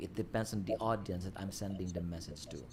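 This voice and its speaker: A very fast man with a Filipino accent, a very deep, low, somewhat breathy voice and ordinary pitch variation. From Philippines. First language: Filipino language. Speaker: livestream host. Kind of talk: casual chat. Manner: halting.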